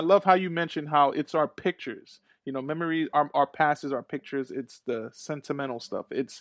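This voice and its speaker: With a plain, everyday voice, a man speaks at a fairly high pitch and a fairly quick pace, with ordinary pitch variation, hardly any pauses and a quiet background. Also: dry, close sound with no echo. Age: 30s. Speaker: podcast host. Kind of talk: casual interview chat.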